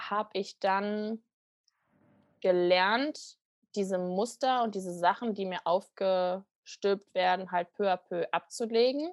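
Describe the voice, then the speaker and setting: Over a quiet background, a woman of medium pitch speaks with ordinary pitch variation, the sound dry and close with no echo. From western Germany, near Düsseldorf. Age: 20s. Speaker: coaching program participant. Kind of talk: podcast interview.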